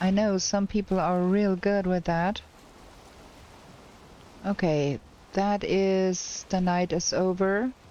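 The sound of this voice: A woman speaks slowly at a medium pitch, her tone dark and mellow and her intonation fairly even, with long, frequent pauses.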